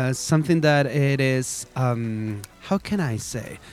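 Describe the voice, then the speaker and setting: Lively intonation marks this man's very slow speech, delivered with a Spanish accent. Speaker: radio host. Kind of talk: casual chat.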